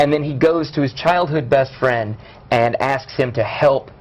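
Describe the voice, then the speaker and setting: Speaking at a fairly slow pace with an American accent, a man uses a medium pitch over noticeable background noise. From US South, Louisiana (Shreveport area). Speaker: actor and director. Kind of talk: casual interview chat. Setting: live show interview. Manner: animated.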